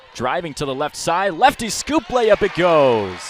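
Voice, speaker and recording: Amid noticeable background noise, a man's voice swings very widely in pitch. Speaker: basketball play-by-play broadcaster. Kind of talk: live college basketball TV play-by-play.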